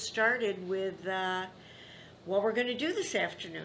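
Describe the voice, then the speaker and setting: A woman speaks at a moderate pace in an American accent, her pitch medium with ordinary variation. The room echo is audible. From Upstate New York (Rome, NY). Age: 80s+. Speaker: grandmother interviewee. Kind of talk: family oral history interview.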